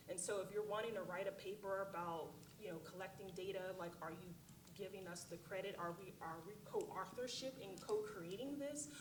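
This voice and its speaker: Speaking fairly quickly with an American accent, a woman at medium pitch uses ordinary pitch variation, with audible room echo and noticeable background noise around her. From Oklahoma, US. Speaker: panelist on global health. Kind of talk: conference panel discussion. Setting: conference room with audience. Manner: many fillers (um, uh).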